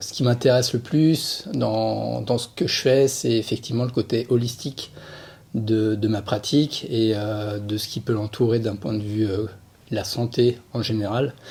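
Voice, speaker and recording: A somewhat breathy man with medium pitch and ordinary pitch variation, at a fairly slow pace. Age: 40s. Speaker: sports physiotherapist, former pro cyclist. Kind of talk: podcast interview. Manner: hesitant, many fillers.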